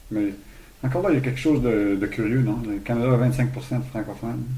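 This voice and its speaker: A man with vocal fry and a fairly low pitch talks at a very fast pace, with audible room echo around him. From Quebec, Saguenay–Lac-Saint-Jean. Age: 60s. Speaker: hostel owner. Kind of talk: interview. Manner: halting, many repetitions.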